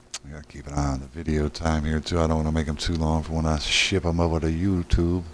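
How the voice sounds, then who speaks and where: Over noticeable background noise, a man speaks in a monotone, flat intonation at a very deep, low pitch. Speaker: gaming streamer. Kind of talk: gameplay commentary. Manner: casual.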